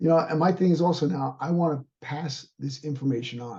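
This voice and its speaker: Here a man speaks in a dark, mellow tone. His voice is somewhat breathy. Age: 60s. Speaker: martial arts instructor and fitness trainer. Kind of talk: interview.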